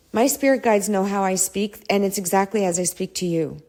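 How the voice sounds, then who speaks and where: At a moderate pace, a woman with a dark, mellow tone speaks with ordinary pitch variation. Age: 50s. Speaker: self-help podcaster. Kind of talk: casual spiritual monologue. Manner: animated.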